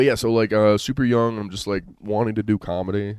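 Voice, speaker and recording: A man's dark, mellow tone at a moderate pace. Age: 20s. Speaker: stand-up comedian and open mic host. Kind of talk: casual chat.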